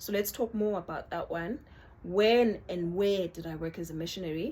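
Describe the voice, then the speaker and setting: A woman speaks at a medium pitch with a South African accent. Her intonation stays fairly even. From South Africa, Northern Cape. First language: Xhosa. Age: 30s. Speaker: YouTuber. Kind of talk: casual vlog chat. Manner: informal, code-switching.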